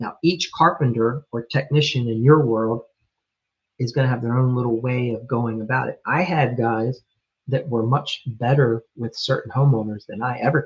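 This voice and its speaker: A man's fairly even, mid-pitched delivery carries a somewhat breathy quality. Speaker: remodeling business coach. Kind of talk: live stream coaching talk. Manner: slow; casual, with fillers.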